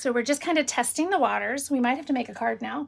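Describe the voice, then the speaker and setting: A woman talks at a fairly quick pace in a raised, projected voice with ordinary pitch variation. Her tone is animated, bright and sharp. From Illinois. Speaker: paper crafting channel host. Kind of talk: casual live stream chat. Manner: loud.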